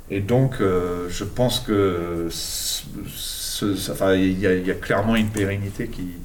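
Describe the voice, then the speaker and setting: The man talks at a fairly slow pace with ordinary pitch variation. Audible room echo and noticeable background noise surround him. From English and Argentine parentage, born in England. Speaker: street artist and art teacher. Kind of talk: interview. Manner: halting, many hesitations.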